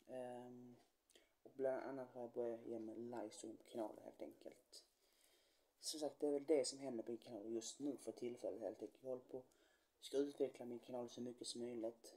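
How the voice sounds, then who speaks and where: A man's dark, mellow voice in a flat monotone. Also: moderate pace. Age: 20s. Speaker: YouTuber; youtuber. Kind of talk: vlog introduction to camera. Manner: halting, many fillers. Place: home room.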